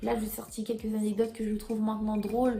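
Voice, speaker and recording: Noticeable background noise behind a woman with a fairly high pitch. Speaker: YouTuber. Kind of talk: storytelling vlog.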